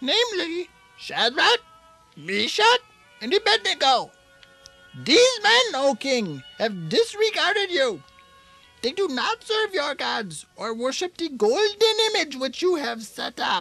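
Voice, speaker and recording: Faint music plays in the background behind a cartoonish character voice. The pace is fairly slow, with long, frequent pauses. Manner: fawning, sly.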